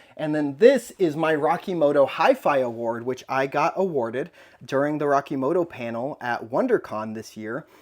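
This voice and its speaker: With a normal speaking voice, a man talks at a moderate pace in a fairly high pitch with ordinary pitch variation. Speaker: toy collector YouTuber. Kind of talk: casual vlog room tour.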